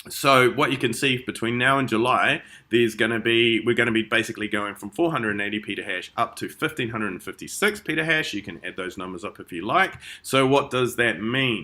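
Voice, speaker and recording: A voice with a bright, sharp tone, ordinary pitch variation and a fairly quick pace, swinging widely in loudness. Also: man, medium pitch for a man. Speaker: crypto investment promoter. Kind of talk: sales presentation.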